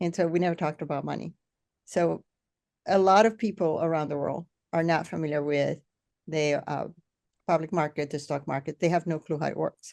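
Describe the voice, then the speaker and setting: Against a quiet background, a woman with a very deep, low pitch speaks at a fairly quick pace with fairly even intonation and long, frequent pauses. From Venezuela. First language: Spanish. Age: 60s. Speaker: podcast host. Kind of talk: interview.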